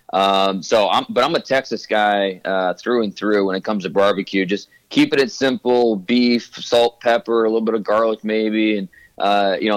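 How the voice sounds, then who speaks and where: A man's normal speaking voice, fairly low in pitch, with fairly even intonation and a dry, close sound free of echo. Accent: American. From US Midwest, Ohio. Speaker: football draft analyst. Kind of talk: interview.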